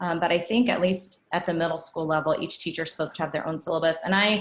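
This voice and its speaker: Fairly low in pitch, a woman with a plain, everyday voice speaks with fairly even intonation. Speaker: band director giving teacher training. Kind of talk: professional development presentation.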